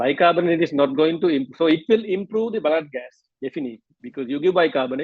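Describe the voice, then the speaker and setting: Here a man talks at a fairly quick pace. His pitch is fairly high and his intonation lively. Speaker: medical lecturer. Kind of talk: lecture. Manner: fast.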